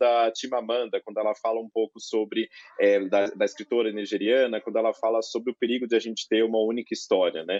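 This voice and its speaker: This man's voice has a medium pitch. He delivers his words very fast. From Greater São Paulo, Brazil (Carapicuíba, Osasco). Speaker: law professor, panelist. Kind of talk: panel discussion. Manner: halting, many filler sounds.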